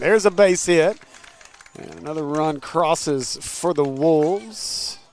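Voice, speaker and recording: The voice moves at a moderate pace with lively intonation. Noticeable background noise is present. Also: man. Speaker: sports commentator. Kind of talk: live commentary. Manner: loud.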